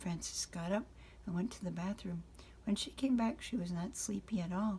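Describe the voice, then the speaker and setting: At a moderate pace, a woman with a medium pitch talks in a dark, mellow tone with vocal fry and ordinary pitch variation. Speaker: grandmother reading to grandchildren. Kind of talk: children's bedtime story reading.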